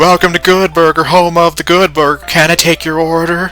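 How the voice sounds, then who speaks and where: Putting on a character voice, a man talks at a fairly quick pace in a high pitch with monotone, flat intonation. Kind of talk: scripted greeting. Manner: dopey, cheerful.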